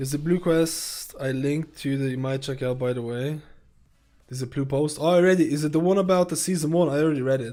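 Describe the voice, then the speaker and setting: A man talks at a very fast pace in a dark, mellow tone. The recording is very clean, with a silent background. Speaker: video game streamer. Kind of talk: casual live-stream chat. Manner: loud.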